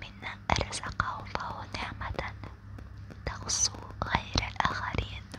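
At a very slow pace, this voice whispers in a soft-spoken way. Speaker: sleep content creator. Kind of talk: soft sleep-talk monologue with advice. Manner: soft, hushed ASMR whisper.

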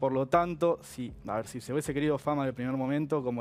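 Fairly high-pitched, the man talks very fast with fairly even intonation. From Argentina. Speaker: lawyer; guest. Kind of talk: TV interview. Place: studio. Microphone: headset.

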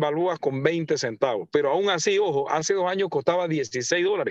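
Moderate pace with hardly any pauses, ordinary pitch variation, and a dry, echo-free sound against a quiet background. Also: man. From Panama. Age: 40s. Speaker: mayor. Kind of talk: radio interview. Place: car.

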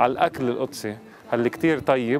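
A man speaks at a medium pitch while noticeable background noise carries on around him. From United States (Florida). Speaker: diplomat. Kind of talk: casual talk to camera.

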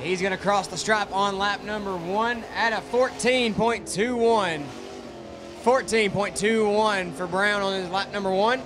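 Noticeable background noise sits behind the voice. The intonation stays fairly even. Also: man. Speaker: race announcer. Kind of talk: commentary. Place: stadium.

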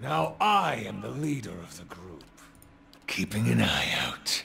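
A man puts on a raspy character voice, pitched very deep and low. He talks at a fairly slow pace. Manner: sinister.

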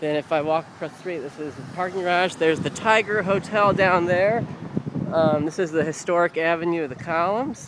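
A man with an American accent, high-pitched, relaxed in tone, at a fairly quick pace with ordinary pitch variation, a dry sound with no echo, and noticeable background noise. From US Midwest, Missouri. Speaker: amateur video maker giving a city tour. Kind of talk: informal walking-tour narration to a friend, pointing out landmarks on camera. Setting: outdoors on city streets, handheld camera, traffic noise. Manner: rambling and hesitant, lots of uh and um fillers and self-corrections; friendly, relaxed, slightly raised over traffic noise. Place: street. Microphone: phone near.

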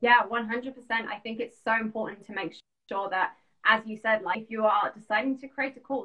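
A fairly high-pitched woman at a moderate pace, fairly even intonation and big swings in loudness, over a quiet background. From London. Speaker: business coach. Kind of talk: casual interview. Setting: video call. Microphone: video call.

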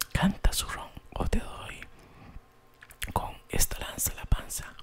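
Whispering, a man speaks at a fairly slow pace. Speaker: ASMR storyteller. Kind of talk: fairy tale narration. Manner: soft, whispered, relaxing. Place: home room. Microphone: studio mic.

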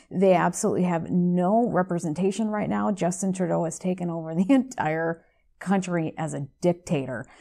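A woman speaks with an American accent in a dark, mellow tone. The background is quiet. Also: fairly low pitch for a woman, lively intonation, moderate pace. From United States. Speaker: radio show host. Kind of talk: interview. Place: studio.

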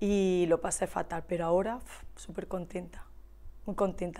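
At a fairly quick pace, a woman talks in a flat monotone at a medium pitch. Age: 40s. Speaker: hairdresser and shop owner. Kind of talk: casual interview chat.

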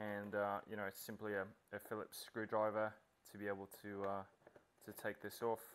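A man speaks at a moderate pace with a fairly bright tone. His pitch sits fairly low.

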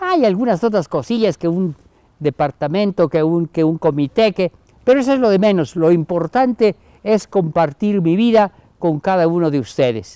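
A man with a high pitch and lively intonation speaks in a warm, dark, mellow tone, with a dry sound with no echo and a quiet background. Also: moderate pace. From Mexico, Chiapas (Comitán); Chiapas, Mexico. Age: 80s+. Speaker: Jesuit priest, emeritus professor. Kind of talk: recorded message to university community. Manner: warm, informal. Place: garden. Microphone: lapel.

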